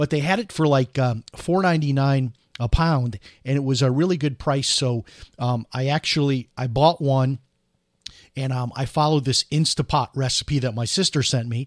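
On a very clean, dry, close recording with a silent background and no echo, a man with a normal speaking voice and fairly high pitch speaks at a moderate pace with ordinary pitch variation and an American accent. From US Midwest, Chicago. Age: 50s. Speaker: radio host. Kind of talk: casual talk radio commentary. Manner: conversational, with many filler words.

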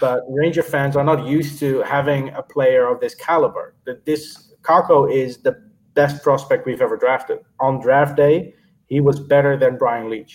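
With fairly even intonation, a man speaks in a fairly high, somewhat breathy voice. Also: moderate pace. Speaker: hockey fan and blogger. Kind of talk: casual chat. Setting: video call.

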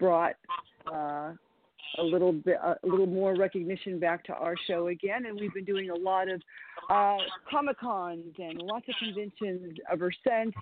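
At a fairly slow pace, a woman speaks at a medium pitch with ordinary pitch variation. She has an unremarkable speaking voice. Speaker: women's wrestler. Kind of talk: casual chat. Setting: phone call.

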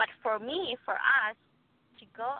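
The speaker has a Guatemalan accent. Pitch varies in an ordinary way. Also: woman. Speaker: immigrant sharing her faith story. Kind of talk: testimony. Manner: halting, searches for words.

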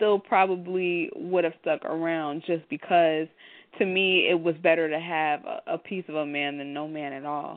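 A woman talks in an ordinary speaking voice with a fairly low pitch. Her pace is moderate and her intonation fairly even. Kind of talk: live talk radio discussion.

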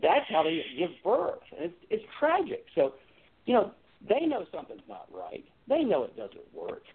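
At a fairly slow pace, a man talks with big swings in loudness. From Virginia, Hampton Roads. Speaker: political candidate. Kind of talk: interview.

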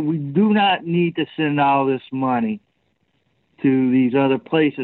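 A man's fairly high voice with an American accent, very slow in pace and with ordinary pitch variation. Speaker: co-host or regular panelist. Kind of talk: political commentary.

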